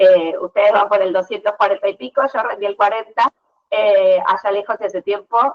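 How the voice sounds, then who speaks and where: A woman at medium pitch talks with lively intonation. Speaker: public defender lawyer. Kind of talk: lecture. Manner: fast; halting.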